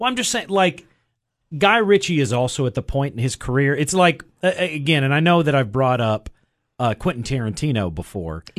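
This man's fairly high voice swings very widely in pitch. He talks at a fairly quick pace against a quiet background. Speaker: film reviewer. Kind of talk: casual banter. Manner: rambling, halting.

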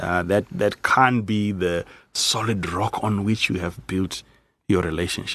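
This is an unremarkable speaking voice with fairly even intonation. It moves at a fairly slow pace. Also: man, fairly low pitch for a man. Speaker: pastor. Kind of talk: casual chat.

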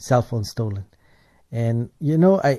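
Against a quiet background, a man with a dark, mellow, somewhat breathy tone speaks at a moderate pace, his medium pitch showing ordinary variation. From South Africa. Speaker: radio host. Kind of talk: radio interview.

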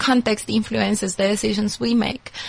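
Moderate-paced speech from a woman, fairly high in pitch, over noticeable background noise. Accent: non-native. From Colombia. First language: Spanish. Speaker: anthropologist and consultant. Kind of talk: interview. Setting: studio.

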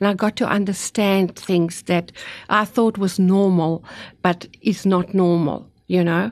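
Against a quiet background, a woman speaks at a fairly slow pace in a medium pitch, her intonation fairly even and her loudness very even. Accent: South African. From South Africa, Afrikaans-speaking. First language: Afrikaans. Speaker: author and cancer survivor. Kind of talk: testimony. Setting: studio.

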